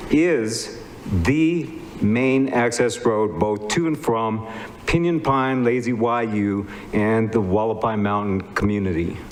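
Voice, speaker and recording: A man at a medium pitch with ordinary pitch variation and a fairly slow pace, with audible room echo and noticeable background noise. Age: 70s. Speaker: physician. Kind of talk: public testimony. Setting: public meeting. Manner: formal.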